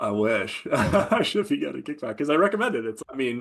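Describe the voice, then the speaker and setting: A man with an American accent at medium pitch and a very fast pace, over a quiet background. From Baltimore, US. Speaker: veteran entrepreneur. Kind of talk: interview.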